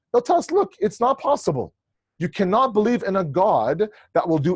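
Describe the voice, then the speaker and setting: A man's voice with very wide pitch swings. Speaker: Islamic lecturer. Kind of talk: lecture. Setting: video call. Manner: fast.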